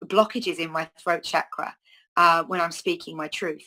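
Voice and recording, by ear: A woman speaks at a moderate pace with fairly low pitch and ordinary pitch variation. Her tone is bright and sharp.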